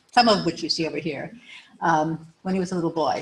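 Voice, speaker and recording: A woman's voice with fairly even intonation. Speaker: widow giving eulogy. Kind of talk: eulogy. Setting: memorial service with audience. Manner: soft-spoken; halting.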